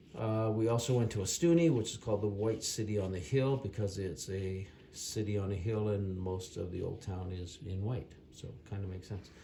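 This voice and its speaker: With a fairly low pitch and ordinary pitch variation, a man talks at a fairly quick pace. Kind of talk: casual travel recap narration. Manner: unscripted, hesitant.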